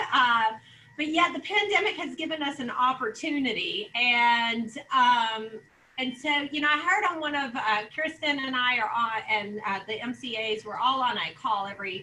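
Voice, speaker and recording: Over noticeable background noise, a woman speaks loudly at a high pitch, with lively intonation and a moderate pace. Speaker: real estate office leader. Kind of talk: sales meeting presentation. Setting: video call.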